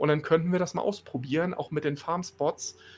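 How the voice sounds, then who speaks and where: A man speaks at a very fast pace in a high pitch with ordinary pitch variation. Music plays in the background. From northern Germany. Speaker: gaming podcast co-host. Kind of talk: casual chat.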